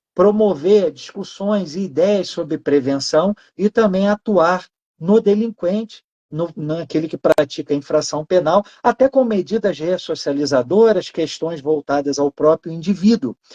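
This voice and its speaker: This man's voice sits high in pitch, with a dark, mellow tone, ordinary pitch variation, a fairly slow pace and a dry, close sound with no echo. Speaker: law professor. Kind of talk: lecture. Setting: live online stream.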